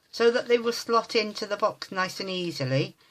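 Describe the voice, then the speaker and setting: With an English accent, a woman of medium pitch talks at a moderate pace with lively intonation. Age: 50s. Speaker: crafter. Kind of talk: tutorial.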